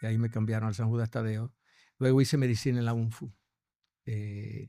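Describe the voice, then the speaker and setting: A man in monotone, flat intonation, on a very clean recording with a silent background. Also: medium pitch for a man, fairly quick pace. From Dominican Republic, Santo Domingo. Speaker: gastroenterologist. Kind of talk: interview. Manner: halting, many repetitions.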